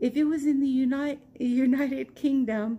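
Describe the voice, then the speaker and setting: A woman with an American accent speaks in a high pitch. Music plays in the background. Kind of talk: casual storytime talk to camera. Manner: slow.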